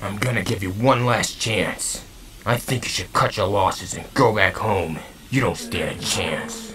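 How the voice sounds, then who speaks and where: A man at medium pitch puts on a cartoonish character voice at a moderate pace, with clear background noise. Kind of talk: anime dub acting. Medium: fan dub. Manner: calm, cocky.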